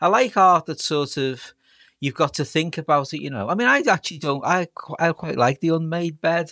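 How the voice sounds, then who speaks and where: A man with a Liverpool accent speaks at a fairly quick pace, his fairly high voice bright and sharp with lively intonation. The recording is very clean, with a silent background and a dry, close sound with no echo. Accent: Scouse (Liverpool). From Liverpool, England. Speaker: historian professor. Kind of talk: casual chat.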